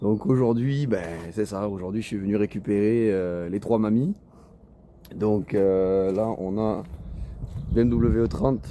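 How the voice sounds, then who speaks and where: Very slowly, a man talks in a fairly low voice. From southern France, Toulouse area. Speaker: car enthusiast vlogger. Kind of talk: casual vlog. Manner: hesitant, many fillers.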